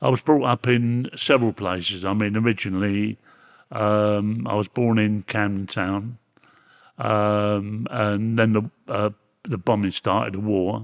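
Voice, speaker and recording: A fairly slow, fairly even voice in a Cockney accent, dry and close with no echo, on a very clean recording with a silent background. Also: man, fairly low pitch for a man. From London, East End. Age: 80s+. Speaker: reformed ex-gangster. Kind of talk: interview. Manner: halting.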